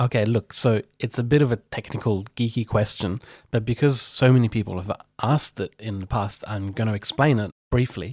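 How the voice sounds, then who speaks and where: A man talks at a moderate pace with medium pitch and ordinary pitch variation, sounding somewhat breathy. The recording is very clean with a silent background. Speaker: podcast host and satirist. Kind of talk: casual podcast talk. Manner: casual, conversational with some filler words.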